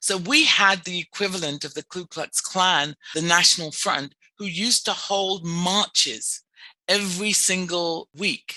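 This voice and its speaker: With an English accent, a woman speaks at a moderate pace and a fairly low pitch, her tone bright and sharp, her pitch varying in an ordinary way, and the sound dry and close with no echo. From England. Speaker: clinical social worker. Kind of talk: podcast interview.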